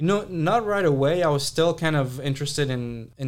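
Very fast speech with an American accent. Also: man. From Saudi Arabia. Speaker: entrepreneur. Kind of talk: casual interview chat. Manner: casual, hesitant with fillers.

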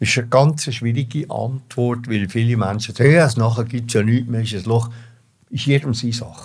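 In a Swiss accent, a man talks at medium pitch and a moderate pace. His voice is somewhat breathy, with fairly even intonation. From Switzerland, Engelberg then Zurich. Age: 80s+. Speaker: former opera singer. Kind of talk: life story interview. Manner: halting.

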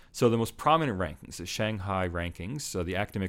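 Speaking with an American accent, a man's voice sits very deep and low. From United States. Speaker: sociologist and associate professor. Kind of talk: interview about his book. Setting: studio office in person.

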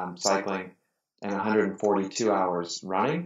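In an American accent, a man speaks at a fairly low pitch with fairly even intonation. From US, Pittsburgh. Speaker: amateur endurance athlete. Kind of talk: casual interview conversation.

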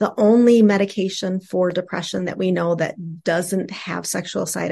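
An ordinary speaking voice, with ordinary pitch variation, moves at a fairly slow pace over a quiet background. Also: woman. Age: 50s. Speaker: sex therapist and clinical social worker. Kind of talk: casual interview.

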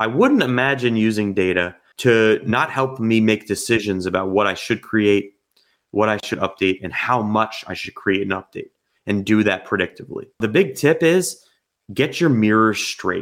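A plain, everyday voice with an American accent, at a moderate pace with ordinary pitch variation. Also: man, fairly low pitch for a man. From New Jersey. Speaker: software company co-founder. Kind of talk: interview. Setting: remote call.

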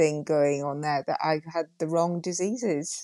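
Over a quiet background, a woman with a Yorkshire accent and fairly low pitch speaks at a moderate pace with ordinary pitch variation, the sound dry and close with no echo. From Yorkshire, northern England. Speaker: GP and coach. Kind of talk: interview conversation.

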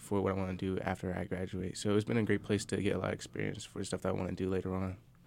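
A man with an American accent speaks very fast at a fairly low pitch. His intonation is monotone and flat. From Virginia (Chesapeake, Virginia Beach area). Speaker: college student producer. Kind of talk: casual interview.

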